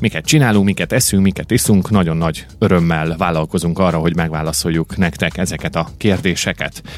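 A man speaking at a very fast pace amid noticeable background noise. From Hungary, Kecel (Great Plain). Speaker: podcast host. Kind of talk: casual chat. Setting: studio.

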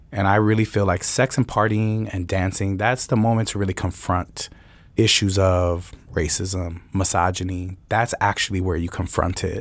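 In a very clean recording with a silent background, a man speaks at a moderate pace with fairly even intonation and a very deep, low pitch. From Chicago. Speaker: DJ and party promoter. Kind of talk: panel discussion.

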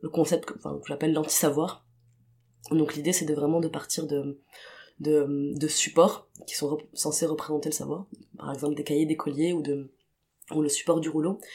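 A woman speaks in a very deep, low voice with a dark, mellow tone, flat monotone intonation, and long, frequent pauses. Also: moderate pace. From Tunisia (Tunis). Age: 20s. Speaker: queer artist. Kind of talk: interview testimony. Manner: hesitant, many fillers.

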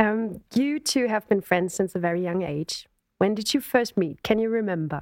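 A woman speaks at a medium pitch in a German accent, with lively intonation at a moderate pace, in a dry, close sound with no echo. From Germany. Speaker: podcast host and singer. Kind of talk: interview. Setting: video call.

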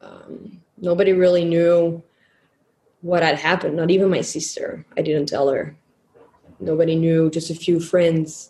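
A woman speaks in a dark, mellow tone at a fairly low pitch and a fairly slow pace. Her voice is somewhat breathy, with monotone, flat intonation. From Flemish Belgium. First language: Dutch (Flemish). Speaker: survivor sharing personal story. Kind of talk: testimony.

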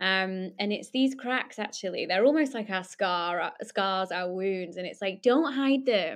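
A woman with a Lancashire accent talks at a fairly slow pace and medium pitch, with lively intonation and hardly any pauses. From northern England, Lancashire. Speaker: social enterprise founder. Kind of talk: interview.

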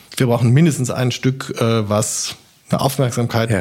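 At a fairly slow pace, a man talks with an ordinary speaking voice. His medium pitch follows a fairly even intonation. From South Baden, Germany (near Basel). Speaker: opera house director. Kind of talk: casual interview. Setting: at home.

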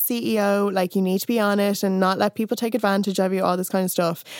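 With an Irish accent, a woman speaks in fairly even intonation over a dry, close sound with no echo. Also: very clean recording, silent background. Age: 30s. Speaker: writer and music critic. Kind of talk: casual chat.

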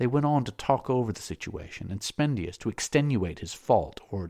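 A natural reading voice carries this clip.

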